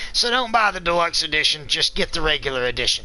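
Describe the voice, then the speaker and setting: A loud, high-pitched male voice at a moderate pace, with noticeable background noise. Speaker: gaming video reviewer. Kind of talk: live-streamed game review. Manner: enthusiastic.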